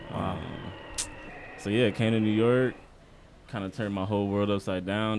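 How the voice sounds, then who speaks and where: With monotone, flat intonation, a man speaks at a fairly quick pace. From Omaha, Nebraska, US Midwest. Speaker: photographer.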